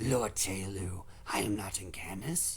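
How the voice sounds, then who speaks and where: A man uses a put-on character voice, raspy and fairly low in pitch. Noticeable background noise and hissing sit behind him. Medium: read story. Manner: vicious, spitting.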